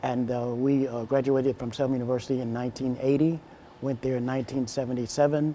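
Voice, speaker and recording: The speech moves at a moderate pace in a monotone, flat intonation, with noticeable background noise behind it. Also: man. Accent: American. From Alabama, US South. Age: 50s. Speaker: minister and educator. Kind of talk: interview.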